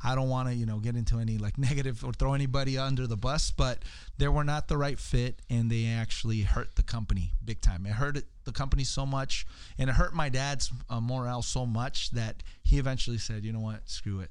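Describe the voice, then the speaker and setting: A man with an unremarkable speaking voice, medium pitch, a fairly quick pace, and fairly even intonation. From California (East LA, Salinas area), Mexican-American family. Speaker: entrepreneur, public speaker. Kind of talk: podcast interview. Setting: studio.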